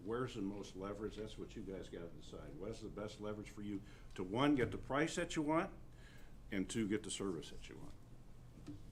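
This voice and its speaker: There is audible room echo as a man speaks at a moderate pace with lively intonation. His fairly low voice carries vocal fry. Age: 60s. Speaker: county attorney. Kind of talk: public meeting discussion. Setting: county commissioners meeting. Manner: halting, many repetitions.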